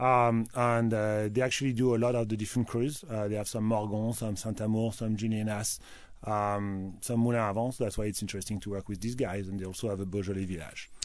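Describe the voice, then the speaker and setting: A man with a French accent speaks fairly quickly at a fairly low pitch, with hardly any pauses. His intonation stays fairly even. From France, Loire Valley (Tours). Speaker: wine importer. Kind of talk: radio interview.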